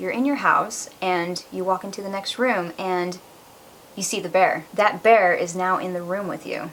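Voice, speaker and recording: Speaking with a plain, everyday voice, she uses a medium pitch and an unhurried yet steady-moving middle tempo. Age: 20s. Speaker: vlogger sharing personal story. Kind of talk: personal testimony vlog.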